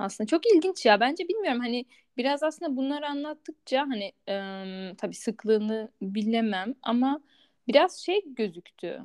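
Her high voice swinging very widely in pitch, a woman speaks at a moderate pace in a dry, close sound with no echo. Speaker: podcast host. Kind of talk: casual interview.

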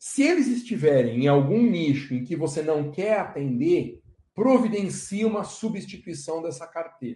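This voice has a dark, mellow tone and very wide pitch swings. It moves at a fairly slow pace. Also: man. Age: 40s. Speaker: law professor and lawyer. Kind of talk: live online lecture.

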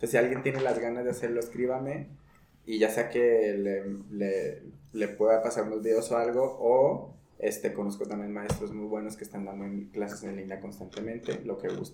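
Amid noticeable background noise and audible room echo, a man speaks at a moderate pace with medium pitch and fairly even intonation. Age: 20s. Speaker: podcast host, yoga teacher. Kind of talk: casual chat.

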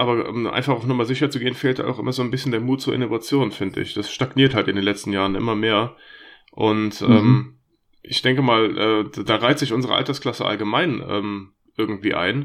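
Talking at a fairly quick pace, a man with medium pitch and fairly even intonation has an unremarkable speaking voice, set against a quiet background. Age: 30s. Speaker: podcast host and gamer. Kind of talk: casual chat; scripted disclaimer.

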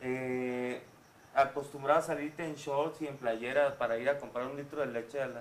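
Over noticeable background noise, a man talks at a moderate pace in a fairly high pitch, with monotone, flat intonation and big swings in loudness. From Mexico City, with 11 years in Guadalajara. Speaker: singer. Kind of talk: casual chat.

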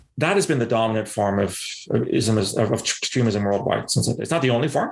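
Fairly quick and fairly low-pitched, a man speaks with vocal fry. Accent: Canadian. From Canada, London, Ontario. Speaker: former intelligence analyst and counterterrorism expert. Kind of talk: podcast interview.

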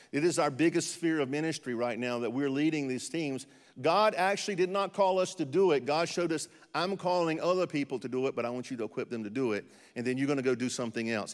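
With an American accent, a fairly high-pitched man talks at a very fast pace with lively intonation on a very clean recording with a silent background. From eastern North Carolina. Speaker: missionary pastor. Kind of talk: sermon. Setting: church with audience.

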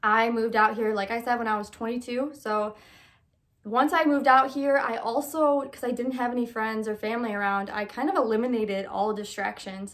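An unremarkable speaking voice with an American accent and ordinary pitch variation. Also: woman, fairly high pitch for a woman, fairly quick pace. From Michigan. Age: 20s. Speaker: podcast host. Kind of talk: casual monologue.

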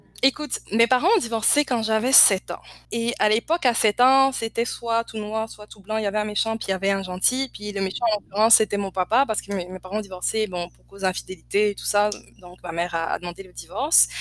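With a plain, everyday voice, a woman talks fairly quickly at a fairly high pitch, her ordinary pitch variation paired with big swings in loudness in a dry, close sound with no echo. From Côte d'Ivoire. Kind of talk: casual interview.

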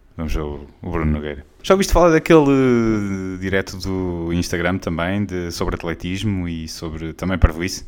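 A man with a European Portuguese accent, very deep and low in pitch, at a moderate pace with hardly any pauses and big swings in loudness. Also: ordinary pitch variation. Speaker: podcast host. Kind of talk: casual comedic monologue.

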